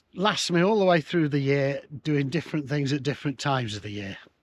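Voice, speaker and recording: A fairly high-pitched man with an English accent and lively intonation, on a very clean recording with a silent background. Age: 70s. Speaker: retired van-dwelling nomad. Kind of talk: casual interview chat. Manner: halting, repeats words.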